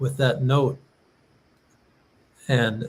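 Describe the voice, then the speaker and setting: This man speaks at a medium pitch, somewhat breathy, with fairly even intonation. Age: 70s. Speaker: musician and show host. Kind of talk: casual chat. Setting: live stream.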